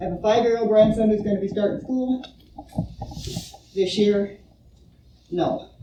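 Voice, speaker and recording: Amid noticeable background noise, a woman with a fairly high voice and ordinary pitch variation speaks at a moderate pace, taking long, frequent pauses. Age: 70s. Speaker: public commenter, grandmother. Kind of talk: public comment at school board meeting. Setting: board meeting room.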